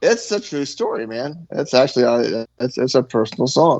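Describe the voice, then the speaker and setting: Lively intonation marks this man's speech. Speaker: rock band musician and songwriter. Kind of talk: casual podcast chat. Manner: fast; halting, many repeated words.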